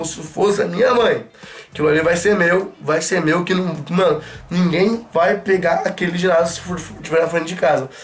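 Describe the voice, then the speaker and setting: At a moderate pace, a man talks with a high pitch. His intonation stays fairly even. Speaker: gaming youtuber. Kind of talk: casual vlog chat. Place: home room. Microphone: camera far.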